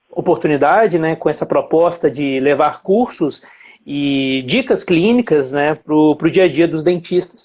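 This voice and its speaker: A man with a Minas Gerais accent, fairly slow pace and ordinary pitch variation. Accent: Minas Gerais (mineiro) accent, noticeable. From Brazil, Belo Horizonte (Minas Gerais). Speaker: dentist and implant lecturer. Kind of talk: live-stream lecture. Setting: live stream from home. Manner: hesitant, many fillers.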